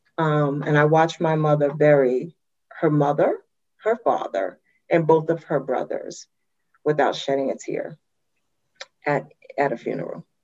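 A woman speaks with an American accent at a moderate pace. She leaves long, frequent pauses. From Brooklyn, New York. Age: 50s. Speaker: university administrator and motivational speaker. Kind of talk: interview.

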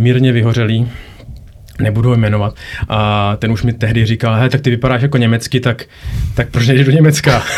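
Fairly quick and flat in intonation, a man talks at a medium pitch in a monotone. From Czech Republic. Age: young. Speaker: radiologist. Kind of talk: casual interview. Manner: halting, many repetitions and fillers.

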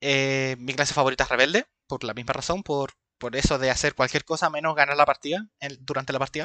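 Fairly high-pitched for a man, this plain, everyday voice moves at a fairly quick pace with fairly even intonation. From Chile. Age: 20s. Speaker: podcast co-host. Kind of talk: casual chat.

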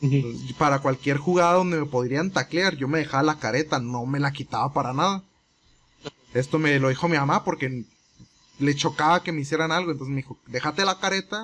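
At a fairly quick pace, a man talks in a fairly high voice with ordinary pitch variation, a normal speaking voice. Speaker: podcast co-host. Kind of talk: casual chat.

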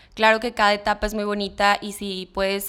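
Fairly high pitch and a moderate pace from a woman in a normal speaking voice. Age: 20s. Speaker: young mother and communications student. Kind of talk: podcast interview.

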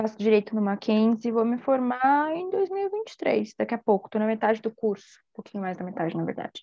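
A woman with a São Paulo accent talks fairly quickly, with hardly any pauses. Her fairly high voice carries lively intonation. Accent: São Paulo Brazilian Portuguese. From Brazil, São Paulo. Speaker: podcast host, law student. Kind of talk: casual chat.

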